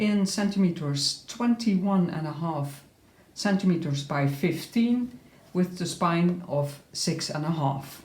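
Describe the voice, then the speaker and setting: A woman's fairly low voice in a non-native accent, very slow in pace, with ordinary pitch variation. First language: not English. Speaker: crafter showing her handmade journal. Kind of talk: tutorial-style flip through. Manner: halting, frequent uh fillers.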